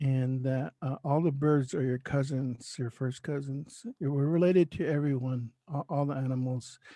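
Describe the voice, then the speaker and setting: Dark and mellow in tone, this voice has an American accent and fairly even intonation, with dry, close sound and no echo. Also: man, fairly high pitch for a man, moderate pace. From Oklahoma, US. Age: 60s. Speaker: spiritual leader. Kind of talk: interview. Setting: podcast interview. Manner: halting.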